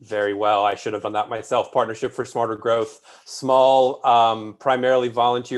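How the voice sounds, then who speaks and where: In a plain, everyday voice, a man with an American accent talks fairly quickly at a medium pitch with fairly even intonation. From Northern Virginia, Alexandria. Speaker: housing policy advocate. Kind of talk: panel discussion.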